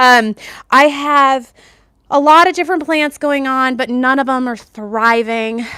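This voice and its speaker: In an American accent, a woman projects a raised, high-pitched voice with a bright, sharp tone, speaking at a fairly slow pace with ordinary pitch variation on a very clean recording with a silent background. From New Jersey. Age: 50s. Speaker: lifestyle vlogger. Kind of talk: live stream chat. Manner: casual, filler-heavy.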